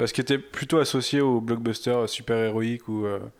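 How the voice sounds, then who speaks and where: A man speaks at a moderate pace and a medium pitch on a very clean recording with a silent background. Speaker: podcast panelist. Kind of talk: casual chat.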